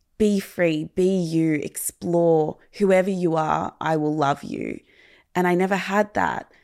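A woman speaks very slowly in a fairly low voice with an Australian accent. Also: ordinary pitch variation, very clean recording, silent background. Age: 20s. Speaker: content creator and mental health advocate. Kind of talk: personal testimony in interview.

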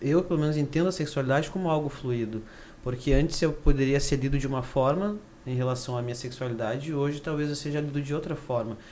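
A man at a fairly high pitch and a very fast pace, fairly even in intonation, with audible room echo. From interior of Rio Grande do Sul, Brazil (Carazinho). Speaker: engineering student and activist. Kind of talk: casual chat. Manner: hesitant, many fillers.

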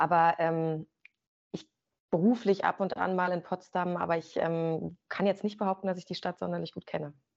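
At a moderate pace, a woman with fairly low pitch and fairly even intonation speaks in an ordinary speaking voice. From Brandenburg, Germany (Rangsdorf, south of Berlin). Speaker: sports presenter. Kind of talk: interview.

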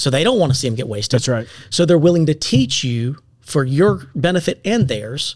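A man with an American accent speaks at a fairly quick pace in an ordinary speaking voice. His pitch sits fairly high and his intonation is lively. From US South, upstate South Carolina. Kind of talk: casual chat.

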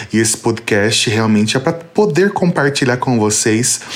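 Noticeable background noise sits behind a man who talks fairly slowly. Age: 30s. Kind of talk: personal faith testimony.

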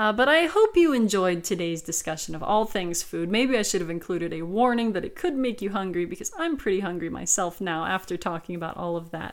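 Talking at a fairly quick pace with hardly any pauses, a woman uses lively intonation over noticeable background noise. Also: medium pitch for a woman. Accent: American. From South Carolina. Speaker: podcast host and dictionary co-author. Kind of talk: educational podcast monologue with readings. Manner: casual, with frequent fillers.

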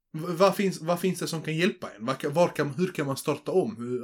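Lively intonation runs through a man's fairly high voice, an unremarkable speaking voice delivered at a moderate pace. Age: 20s. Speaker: podcast co-host. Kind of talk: casual chat.

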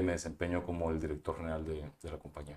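A man is heard in a very clean recording, the background entirely silent. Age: 30s. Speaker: entrepreneur. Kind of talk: interview. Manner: halting.

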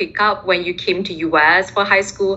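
A woman talks at a fairly slow pace with a Chinese accent. Her pitch sits in the medium range. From Singapore. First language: Mandarin Chinese. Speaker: recent graduate in international development. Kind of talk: interview. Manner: frequent fillers, hesitant.

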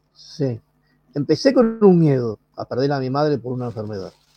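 A man with a Rioplatense accent speaks in a dark, mellow tone. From Argentina, Buenos Aires. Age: 30s. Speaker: mental health patient and activist. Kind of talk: personal testimony.

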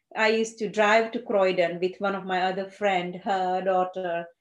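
The speaker has a Gujarati accent and a fairly slow pace. The pitch varies an ordinary amount, and the background is quiet. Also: woman. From India (Gujarat). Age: 50s. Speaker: GP surgery administrator. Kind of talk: casual interview.

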